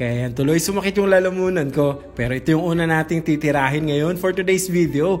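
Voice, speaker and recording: A man talks with ordinary pitch variation while music runs in the background. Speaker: cooking vlogger. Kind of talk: voiceover narration for cooking vlog.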